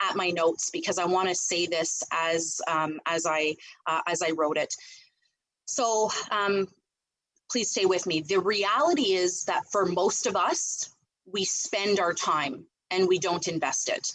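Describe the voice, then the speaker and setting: With a plain, everyday voice, a woman speaks at a medium pitch and a fairly slow pace, her pitch varying in an ordinary way. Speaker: real estate team leader. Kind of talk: team meeting presentation.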